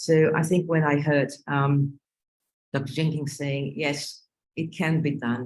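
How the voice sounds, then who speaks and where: The speaker has a Brazilian Portuguese accent. The pace is moderate. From Northeast Brazil. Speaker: pediatric cardiologist. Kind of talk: panel discussion. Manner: halting, many fillers.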